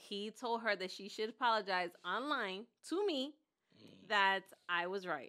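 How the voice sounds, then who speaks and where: A woman at medium pitch, bright and sharp in tone, animated with lively intonation, fairly slow with long, frequent pauses, on a very clean recording with a silent background. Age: 40s. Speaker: podcast co-host. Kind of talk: casual chat.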